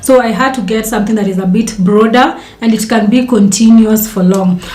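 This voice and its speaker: With audible room echo and noticeable background noise, a woman speaks at a fairly quick pace with a fairly high pitch. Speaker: dietitian and content creator. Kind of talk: casual talk to camera. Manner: fast.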